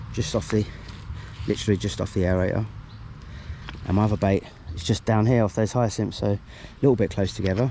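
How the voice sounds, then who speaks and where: Speaking with a British accent, a man uses a fairly low pitch and ordinary pitch variation. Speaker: angler vlogger. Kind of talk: casual vlog narration. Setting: outdoors at a fishing lake. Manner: mumbling.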